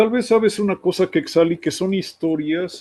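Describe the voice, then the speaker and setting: A man's dark, mellow voice at a fairly slow pace, with a quiet background. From Mexico. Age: 60s. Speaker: radio host. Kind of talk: interview, anecdotal chat.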